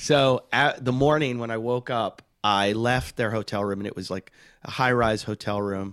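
In an American accent, a plain, everyday voice speaks at a moderate pace with ordinary pitch variation on a very clean recording with a silent background. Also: man, medium pitch for a man. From Pittsburgh, Pennsylvania. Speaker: comedian. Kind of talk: casual chat.

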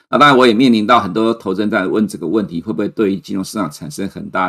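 This man talks at a very fast pace, his pitch fairly low. The pitch rises and falls an ordinary amount. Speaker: chief economist, financial commentator. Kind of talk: market commentary livestream. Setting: livestream. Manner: frequent fillers and hesitations.

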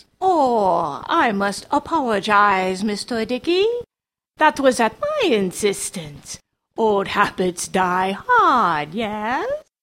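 In a put-on character voice, a female-sounding voice speaks at a very slow pace and fairly high pitch. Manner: calm, silkily polite.

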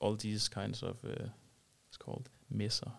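A man talks with vocal fry at a fairly low pitch. His pace is moderate. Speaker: software startup co-founder. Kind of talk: casual interview.

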